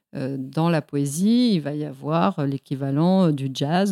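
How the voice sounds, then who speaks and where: A woman speaks at a very slow pace in a very deep, low voice, her intonation lively. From Mexico. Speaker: poet. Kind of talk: interview. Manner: halting.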